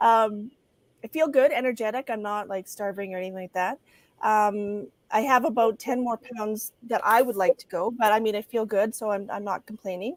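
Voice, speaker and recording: The speech comes at a moderate pace with ordinary pitch variation. The sound is dry and close, with no echo. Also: woman. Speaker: wellness vlogger. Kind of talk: casual chat. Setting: livestream. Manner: animated.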